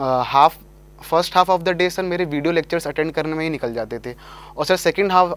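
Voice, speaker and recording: A man's fairly quick speech, fairly high in pitch with fairly even intonation. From Delhi, India. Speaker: engineering graduate, exam topper; guest. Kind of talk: interview. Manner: formal. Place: studio. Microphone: lapel.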